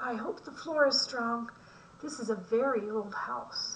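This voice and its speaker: Over clear background noise, a woman puts on a high-pitched character voice and speaks fairly slowly. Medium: read story.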